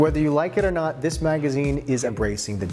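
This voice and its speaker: A man talking at a very fast pace over clear background music. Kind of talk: promotional interview. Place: studio.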